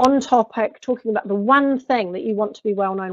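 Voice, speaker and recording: With a strong New Zealand accent, a woman talks at a moderate pace in a fairly high voice with ordinary pitch variation. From New Zealand (rural North Island). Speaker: personal branding expert. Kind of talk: webinar presentation. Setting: online webinar.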